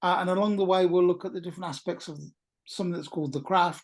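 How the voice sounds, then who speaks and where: A woman with a British accent speaks against a quiet background. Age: 60s. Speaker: talk presenter at a pagan meetup. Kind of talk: informal lecture. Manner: hesitant, many fillers.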